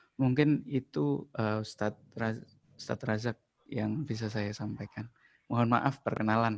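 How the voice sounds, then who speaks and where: A man's medium-pitched voice with ordinary pitch variation, at a fairly slow pace. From East Java, Ponorogo. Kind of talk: casual religious comment in group video call. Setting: video call, camera off. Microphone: laptop.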